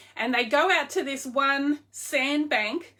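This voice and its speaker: Raising and projecting her voice, a woman with an Australian accent speaks at a fairly slow pace with a high pitch and a bright, sharp tone. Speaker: online clothing seller. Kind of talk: casual livestream chat. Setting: live video stream. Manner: animated.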